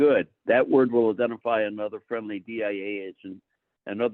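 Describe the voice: Plain reading aloud, with ordinary pitch variation, comes across a quiet background.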